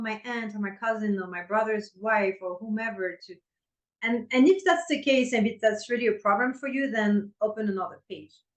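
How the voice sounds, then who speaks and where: Her French accent clear, a woman with a fairly high pitch talks at a moderate pace with ordinary pitch variation. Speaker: intimacy coach. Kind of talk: podcast interview.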